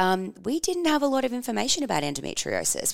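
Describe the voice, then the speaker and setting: With an energetic tone, a woman speaks at a very fast pace in a very clean recording with a silent background and dry, close sound with no echo. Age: 30s. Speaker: podcast host and publicist. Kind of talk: casual monologue.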